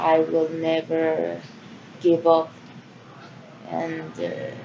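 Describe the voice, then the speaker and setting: Over noticeable background noise, a woman with a Spanish accent speaks at a very slow pace. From Central America. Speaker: vlogger. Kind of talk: personal monologue. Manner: halting.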